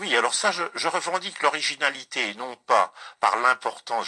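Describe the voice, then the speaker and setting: A man speaks at a moderate pace with a bright, sharp tone and some vocal fry. The sound is dry and close, with no echo. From France, Ardennes. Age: 70s. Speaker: writer. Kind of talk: interview. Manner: hesitant, many fillers and repetitions.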